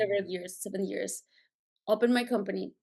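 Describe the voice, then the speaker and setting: A woman's medium-pitched voice with vocal fry, at a moderate pace and with ordinary pitch variation. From Colombia (Bogota). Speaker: finance executive. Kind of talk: interview. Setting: remote call from Mexico jungle.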